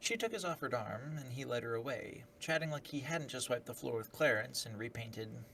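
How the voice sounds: Natural voice for reading aloud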